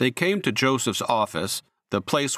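A man with an unremarkable speaking voice talks at a moderate pace, the sound dry and close with no echo on a very clean recording with a silent background. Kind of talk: scripted audiobook narration of a Bible story, read aloud. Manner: steady, measured storyteller pacing, formal, with slight tonal shifts for quoted dialogue.

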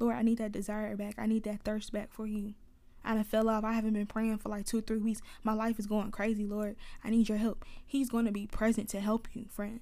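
On a very clean recording with a silent background, a woman with a dark, mellow tone and fairly high pitch talks at a fairly quick pace in a monotone, flat way. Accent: Atlanta. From US South, Atlanta. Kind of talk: casual faith talk monologue. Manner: conversational, laughs often.

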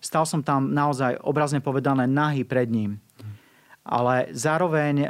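A man with a plain, everyday voice speaks at a fairly high pitch and a fairly slow pace, his intonation fairly even, on a very clean recording with a silent background. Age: 40s. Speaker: evangelist. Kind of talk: interview testimony. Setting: studio.

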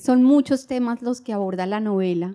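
At a fairly slow pace, a woman speaks with a dark, mellow tone in a dry, close recording with no echo. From Colombia, Bogotá. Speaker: novelist. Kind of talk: live interview before audience. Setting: stage with audience at book fair. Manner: halting, many fillers and repetitions.

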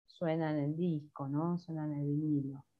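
At a very slow pace, a woman talks. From Greater Buenos Aires, Argentina (La Matanza). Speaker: singer-songwriter. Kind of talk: casual interview. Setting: remote call.

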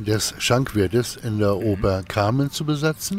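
A man talks with ordinary pitch variation. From northern Germany, Kiel. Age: 50s. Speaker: actor and musician. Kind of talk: interview. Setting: outdoors in a park.

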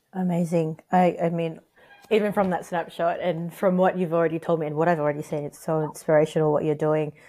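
Talking at a very fast pace, a woman with an Australian accent uses a fairly low pitch, a dark, mellow tone and monotone, flat intonation. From Sydney, Australia, Filipino parents. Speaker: podcast host. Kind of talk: interview; scripted narration.

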